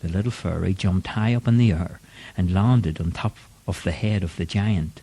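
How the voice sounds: Ordinary rises and falls in pitch across a natural reading voice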